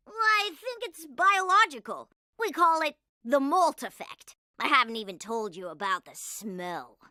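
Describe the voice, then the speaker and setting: In a cartoonish character voice, a female-sounding speaker talks at a moderate pace with a high pitch and very wide pitch swings. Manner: upbeat, casual.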